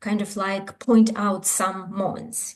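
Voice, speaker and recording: A somewhat breathy woman's voice. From Ukraine. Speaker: scholar. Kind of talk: conference talk. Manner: halting.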